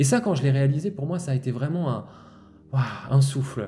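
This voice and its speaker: Music plays in the background. Over it, a man speaks at a fairly quick pace. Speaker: spiritual healer. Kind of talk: spiritual monologue podcast. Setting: outdoors-facing, looking at nature. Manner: fast; continuous flowing monologue.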